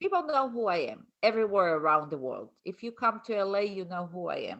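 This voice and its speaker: A woman with a non-native accent talks at a fairly quick pace and medium pitch. Her loudness swings widely. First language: not English. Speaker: colon hydrotherapist and author. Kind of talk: casual interview chat.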